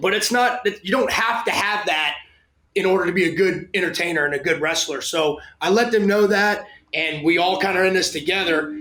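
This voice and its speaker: In a raised, projected voice, a man speaks at a high pitch and a fairly quick pace with ordinary pitch variation and audible room echo. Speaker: strength and conditioning coach. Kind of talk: interview. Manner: loud; animated.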